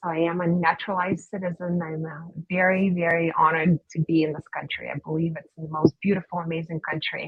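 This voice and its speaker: This woman has a slight Russian accent and monotone, flat intonation. Her loudness swings a lot. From Russia, Saint Petersburg. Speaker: dentist. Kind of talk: interview.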